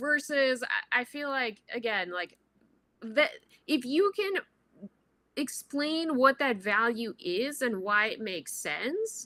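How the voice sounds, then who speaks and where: A woman with a non-native accent projects a raised, high-pitched voice with a bright, sharp tone, very wide pitch swings, and a very slow pace. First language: not English. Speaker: venture capital investor. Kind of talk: panel Q&A, casual advice.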